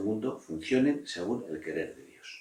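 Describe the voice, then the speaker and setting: Fairly slow, fairly low-pitched speech from a man, with audible room echo. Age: 60s. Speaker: priest. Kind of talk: interview answers on religious vocation. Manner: halting, with frequent fillers.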